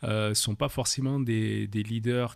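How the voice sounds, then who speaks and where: A man at medium pitch and fairly slow pace, with fairly even intonation, in a very clean recording with a silent background. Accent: slight southern French. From France, Paris and southern France. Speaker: leadership coach. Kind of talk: podcast interview. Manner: hesitant, many fillers.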